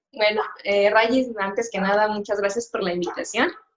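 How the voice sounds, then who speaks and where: Here a woman talks. Her voice has a medium pitch. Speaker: sign language interpreter. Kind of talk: interview. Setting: live stream. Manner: hesitant, many fillers.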